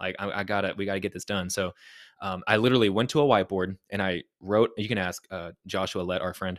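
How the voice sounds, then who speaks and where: A man talks at a very fast pace at a fairly low pitch with fairly even intonation. The recording is very clean with a silent background and a dry, close sound with no echo. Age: 30s. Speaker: co-host, church staff. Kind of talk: casual chat.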